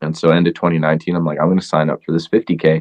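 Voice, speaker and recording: A man's very deep, low voice in an American accent, flat and monotone, at a fairly quick pace. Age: 30s. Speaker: ultramarathon runner. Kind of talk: casual interview.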